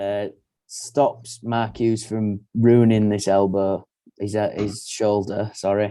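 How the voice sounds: The surroundings are quiet. A natural reading voice carries the text.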